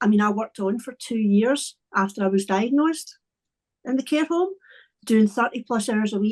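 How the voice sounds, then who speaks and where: A woman with a Scottish accent speaks at a moderate pace in a fairly high pitch. The sound is dry and close, with no echo. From Scotland. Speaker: wellbeing coach. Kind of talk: podcast interview.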